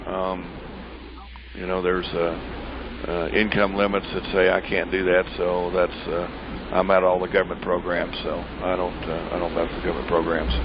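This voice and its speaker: Over noticeable background noise, a man speaks at a fairly quick pace. His pitch is very deep and low. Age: 60s. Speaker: pecan farmer. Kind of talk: interview. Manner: halting.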